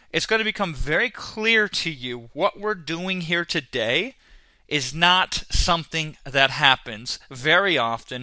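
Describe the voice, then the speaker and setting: With lively intonation and a bright, sharp tone, a man speaks in a high voice at a fairly slow pace. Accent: American. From US Midwest, Iowa. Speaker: online marketing trainer. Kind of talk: sales webinar. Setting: webinar. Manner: animated.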